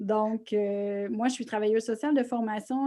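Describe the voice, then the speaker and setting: A woman's fairly high voice in a Quebec accent, dark and mellow in tone, with ordinary pitch variation. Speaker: social worker and grief workshop presenter. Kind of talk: online lecture. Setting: online video conference.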